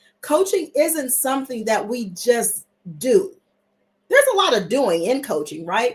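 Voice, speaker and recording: A woman with a high-pitched voice speaks in an animated tone at a fairly slow pace, using very wide pitch swings. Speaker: executive coach and trainer. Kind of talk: live webinar presentation. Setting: livestream on social platform.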